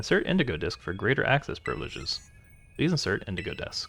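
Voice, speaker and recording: Using a robotic, put-on character voice, a man rattles along at a very fast pace. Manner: flat, mechanical prompt.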